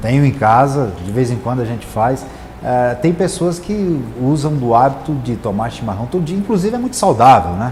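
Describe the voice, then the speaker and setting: With audible room echo and noticeable background noise, a man of medium pitch talks at a moderate pace with very wide pitch swings. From Goiás, Brazil (Rio Verde; born in Rio Grande do Sul, moved at nine). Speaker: state legislature president. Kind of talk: interview. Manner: halting with fillers.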